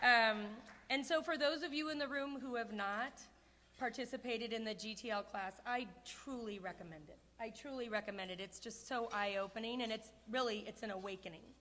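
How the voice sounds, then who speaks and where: Loud and at a fairly quick pace, a woman speaks with a fairly high pitch and ordinary pitch variation, with audible room echo around her. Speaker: award honoree. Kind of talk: acceptance speech. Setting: stage with audience at a gala. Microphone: too close to the mic.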